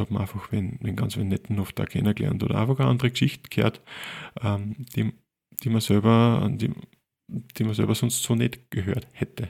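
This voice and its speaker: With an Upper Austrian accent, a man speaks at a moderate pace in a fairly low pitch with vocal fry, fairly even intonation and long, frequent pauses, on a very clean recording with a silent background. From Linz, Upper Austria. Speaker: photographer, podcast co-host. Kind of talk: casual chat.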